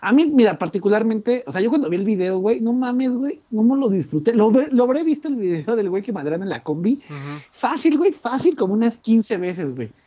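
This voice moves at a fairly quick pace with a Mexican accent. The pitch swings very widely. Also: man, high pitch for a man. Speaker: podcast co-host. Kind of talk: casual chat.

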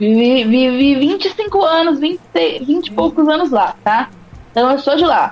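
Very wide pitch swings at a very slow pace, with very even loudness and noticeable background noise. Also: woman, high pitch for a woman. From interior of São Paulo state, São Carlos. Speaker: rapper. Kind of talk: casual interview.

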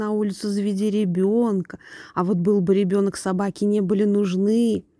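This woman has a dark, mellow tone at a medium pitch and a moderate pace. The sound is dry and close, with no echo. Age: 30s. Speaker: vlogger. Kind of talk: monologue rant. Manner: animated.

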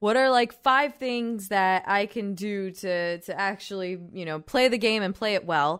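A woman with an ordinary speaking voice and ordinary pitch variation, on a very clean recording with a silent background. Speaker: podcast host. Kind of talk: casual interview chat.

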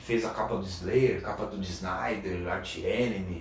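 This man's fairly slow speech comes through audible room echo and noticeable background noise. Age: 40s. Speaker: metal drummer. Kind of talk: casual interview chat. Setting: drum school studio.

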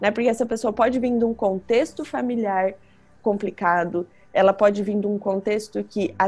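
A woman talks in a Curitiba accent. Her pitch is medium. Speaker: psychologist. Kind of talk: interview. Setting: remote call.

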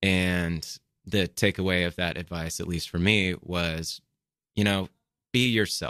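On a very clean recording with a silent background and a dry, close sound with no echo, a man with an American accent speaks at a fairly slow pace with long, frequent pauses, a very deep, low pitch, a bright, sharp tone and fairly even intonation. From Texas (Austin). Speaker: stand-up comedian. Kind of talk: casual chat. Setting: studio.

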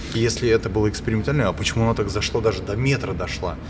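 A man's medium-pitched voice amid audible room echo and noticeable background noise. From St. Petersburg area, Russia. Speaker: podcast host. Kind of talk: casual chat.

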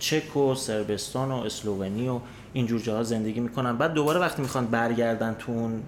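Audible echo from the room hangs on this man's speech. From Iran. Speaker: emigrant sharing experience. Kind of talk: casual chat.

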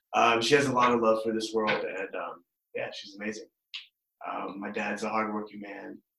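A man with an American accent at a moderate pace, with big swings in loudness. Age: 20s. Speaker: stand-up comedian. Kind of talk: casual interview. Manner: nonchalant, laid-back.

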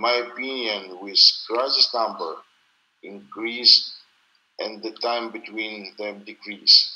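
Speaking at a fairly slow pace, a man with a strong Russian accent keeps his intonation flat and monotone. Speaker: crypto company founder and CEO. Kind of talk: interview. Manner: halting, slow.

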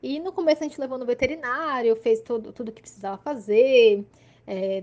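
A woman at a moderate pace. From Santos, São Paulo coast, Brazil. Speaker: podcast listener. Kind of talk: recorded personal testimony.

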